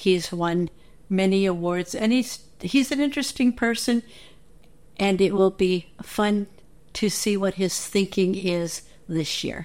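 A woman with a plain, everyday voice, medium pitch, ordinary pitch variation, a fairly slow pace, on a very clean recording with a silent background. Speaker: listener contributor. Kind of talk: recorded message.

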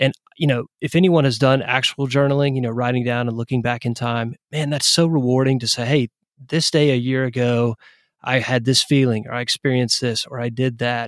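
An unremarkable speaking voice in an American accent moves at a fairly quick pace with fairly even intonation. The sound is dry and close, with no echo. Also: man, medium pitch for a man. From East Tennessee, US South. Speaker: tech entrepreneur. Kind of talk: casual interview chat. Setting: remote call.

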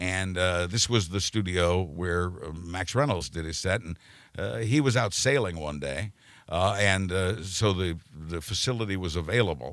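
A very deep, low male voice with an American accent at a moderate pace, on a very clean recording with a silent background. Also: ordinary pitch variation. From Kansas, Wichita. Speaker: retired radio news journalist. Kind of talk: casual interview. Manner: halting.

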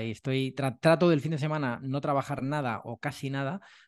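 An unremarkable speaking voice at a moderate pace with fairly even intonation and a quiet background. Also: man. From Madrid, Spain. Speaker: sales trainer and author. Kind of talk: casual interview chat.

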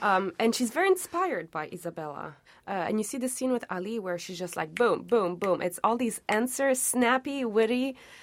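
Speaking at a moderate pace with hardly any pauses, a woman uses a fairly high voice with very wide pitch swings. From Montreal, Quebec. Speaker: opera singer. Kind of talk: casual chat.

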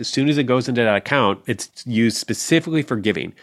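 In a very clean recording with a silent background, a man talks at a fairly quick pace. He has a normal speaking voice with ordinary pitch variation. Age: 40s. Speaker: personal finance author and blogger. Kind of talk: casual interview chat.

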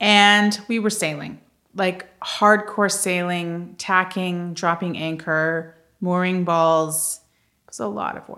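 A woman speaks very slowly in a fairly low voice. Her tone is bright and sharp. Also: big swings in loudness. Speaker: podcast co-host. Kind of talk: casual chat. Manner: animated, chatty.

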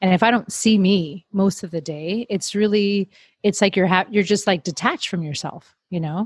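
A woman with an American accent speaks at a medium pitch with ordinary pitch variation and a somewhat breathy quality. The sound is dry and close with no echo, over a quiet background. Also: moderate pace. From Miami, Florida. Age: 30s. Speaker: podcast host. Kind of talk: casual chat.

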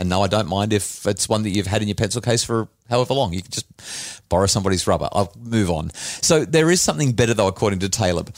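Very fast speech comes from a man with an Australian accent and fairly low pitch. The recording is very clean, with a silent background. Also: ordinary pitch variation. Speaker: podcast host and author. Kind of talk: casual chat.

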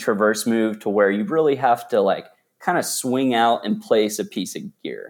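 Speaking at a moderate pace with lively intonation, a man with an American accent has an unremarkable speaking voice, caught in a very clean recording with a silent background. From Texas, Dallas. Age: 30s. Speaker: rock climber. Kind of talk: interview storytelling. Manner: casual, many fillers.

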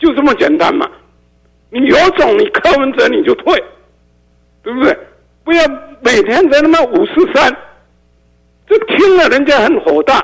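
The speaker uses lively intonation at a moderate pace, with long, frequent pauses. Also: man, extremely high pitch for a man. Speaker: radio call-in listener. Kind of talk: heated debate. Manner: animated.

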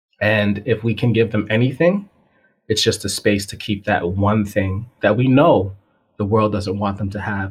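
With an American accent, a man speaks at a moderate pace in a fairly low, somewhat breathy voice and fairly even intonation. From Massachusetts (Springfield). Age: 30s. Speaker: physics teacher. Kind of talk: casual chat. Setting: call.

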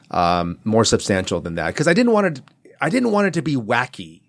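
The voice has an American accent, captured in a very clean recording with a silent background. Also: man. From Southern California. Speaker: children's book author. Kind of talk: interview.

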